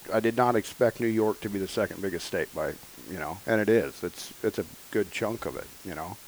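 In an American accent, a normal speaking voice moves at a fairly quick pace with ordinary pitch variation. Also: man, fairly low pitch for a man. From Northern California. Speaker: hunting podcast co-host. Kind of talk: casual chat.

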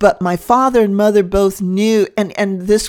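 This woman has a plain, everyday voice at medium pitch, with ordinary pitch variation and a moderate pace, in a very clean recording with a silent background. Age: 60s. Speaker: interview guest. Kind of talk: personal testimony. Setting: kitchen table at home.

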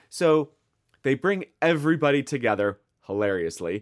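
The sound is dry and close with no echo, on a very clean recording with a silent background. A man with a Midwestern American accent speaks with very wide pitch swings. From US Midwest. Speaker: podcast co-host. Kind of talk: casual chat.

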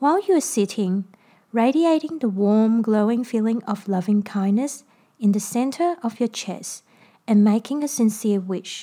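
A woman's fairly high, somewhat breathy voice, dark and mellow in tone, calm and soothing, with lively intonation. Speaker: podcast host and meditation guide. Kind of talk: guided meditation instruction. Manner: calm, slow, soothing, gentle instructional pacing.

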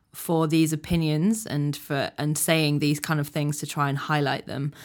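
With a Yorkshire accent, a woman speaks in a very deep, low pitch on a very clean recording with a silent background. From Yorkshire, England. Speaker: activist. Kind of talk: casual chat.

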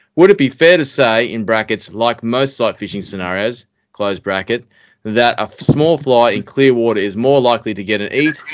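A man with an Australian accent speaks on a very clean recording with a silent background. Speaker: fishing podcast host. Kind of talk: casual chat.

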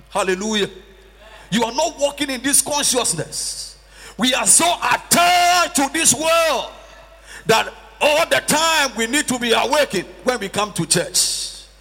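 A man talks in a raised, projected voice at an extremely high pitch, with very wide pitch swings and an animated tone. The pace is moderate, and background noise is noticeable. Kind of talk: sermon. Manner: animated, call-and-response preaching, with prompts to the congregation; emphatic and repetitive, with rhetorical questions.

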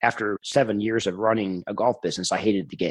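A man talks at a very fast pace, his pitch fairly low and his intonation fairly even. The background is quiet. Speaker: podcast guest, startup founder. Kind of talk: casual, conversational. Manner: fast talker.

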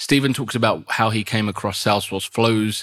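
The speaker has an English accent, a fairly bright tone and a moderate pace. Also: man, fairly low pitch for a man, ordinary pitch variation.

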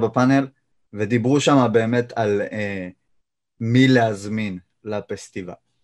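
Against a quiet background, a man at medium pitch speaks with fairly even intonation. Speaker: YouTuber and jiu-jitsu practitioner. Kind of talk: casual interview. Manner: monotone.

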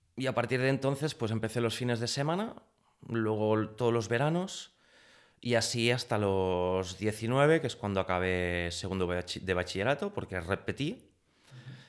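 Speaking in a plain, everyday voice at medium pitch, a man goes at a fairly slow pace with lively intonation on a very clean recording with a silent background. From Catalonia, Spain. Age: 30s. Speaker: pastry chef and chocolate maker. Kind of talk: interview conversation.

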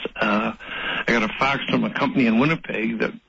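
A man's voice amid noticeable background noise. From Saskatchewan. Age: 70s. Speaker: grain broker. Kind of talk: radio interview.

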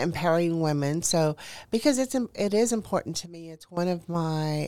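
A woman with an American accent talks at a fairly slow pace. Her voice is very deep and low, dark and mellow in tone. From Houston, Texas. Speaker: author. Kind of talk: interview.

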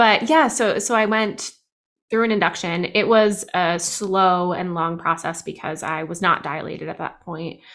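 A woman with an American accent, a normal speaking voice, medium pitch and ordinary pitch variation, on a very clean recording with a silent background. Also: moderate pace. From New Jersey. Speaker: clinical social worker and therapist. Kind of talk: interview testimony.

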